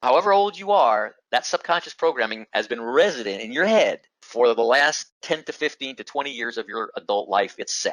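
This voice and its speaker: Animated and fairly quick with hardly any pauses, a man speaks with vocal fry and very wide pitch swings in a dry, close sound with no echo. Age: 70s. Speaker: business acquisition educator. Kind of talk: recorded lecture. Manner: animated, repetitive emphasis.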